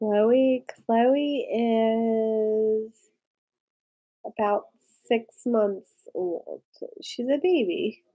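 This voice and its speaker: Her voice is high-pitched, and this woman has a dark, mellow tone. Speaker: lifestyle vlogger. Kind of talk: casual live stream chat. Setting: live stream.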